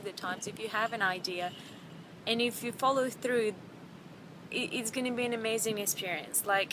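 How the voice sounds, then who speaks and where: Over noticeable background noise, a woman talks at a fairly quick pace. Her pitch is fairly high, with ordinary variation. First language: not English. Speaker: vlogger. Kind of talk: casual vlog. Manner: halting, many fillers and repeats.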